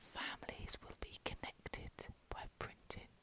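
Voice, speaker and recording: The voice is whispering at a fairly slow pace. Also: woman. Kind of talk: ASMR whispered reading aloud of a fan guide. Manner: whispered.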